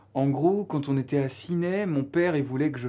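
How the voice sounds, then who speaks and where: The man's tone is dark and mellow. He talks at a fairly quick pace with ordinary pitch variation. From Belgium, Namur province (Wallonia). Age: 20s. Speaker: author and stage actor. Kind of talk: interview. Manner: hesitant, many fillers.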